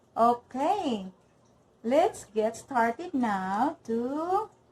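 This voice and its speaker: In a Filipino accent, a woman speaks at a very slow pace. Her voice is high. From Philippines. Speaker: cooking channel host. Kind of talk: cooking tutorial. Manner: halting, self-correcting.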